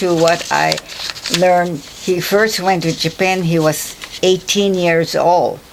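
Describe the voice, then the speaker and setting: Noticeable background noise sits behind the recording. A woman with a fairly low pitch speaks at a very slow pace. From Hawaii (Kauai). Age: 80s+. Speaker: retired teacher, oral history interviewee. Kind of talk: oral history interview. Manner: halting.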